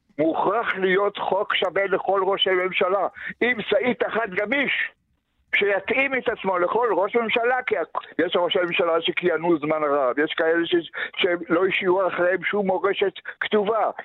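A high-pitched male voice at very even loudness. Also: ordinary pitch variation. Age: 90s. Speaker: retiree running a memorial book association. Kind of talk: radio interview.

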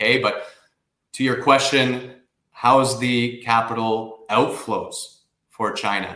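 A man with a Canadian accent, medium pitch, monotone, flat intonation, and a very slow pace. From Canada. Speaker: investment migration firm director. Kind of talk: radio interview.

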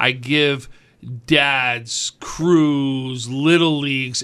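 The voice has a bright, sharp tone, caught in a very clean recording with a silent background. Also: man. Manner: excitable, upbeat.

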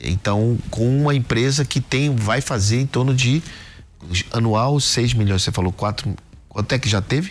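Fairly slow speech with ordinary pitch variation and very even loudness. Music plays in the background. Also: man, medium pitch for a man. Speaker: podcast host and angel investor. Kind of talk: business interview.

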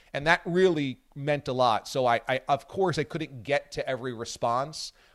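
A man with a normal speaking voice talks at a moderate pace and a fairly high pitch. The recording is very clean, with a silent background and a dry, close sound with no echo. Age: 40s. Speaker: sports radio host. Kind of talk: casual chat. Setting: radio studio.

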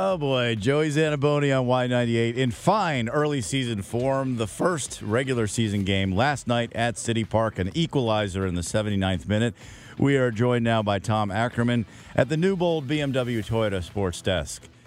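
A man talks at a moderate pace and medium pitch, with lively intonation. It is an ordinary speaking voice. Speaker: radio host. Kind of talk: radio sports interview.

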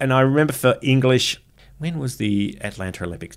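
His intonation rises and falls in a lively way. The man has an Australian accent. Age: 40s. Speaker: comedian. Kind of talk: casual chat. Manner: animated.

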